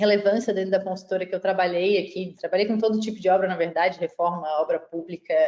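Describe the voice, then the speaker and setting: A woman at medium pitch speaks in a flat monotone with a Florianópolis accent. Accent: Florianópolis (Santa Catarina). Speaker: civil engineer and tech startup CEO. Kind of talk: webinar panel presentation.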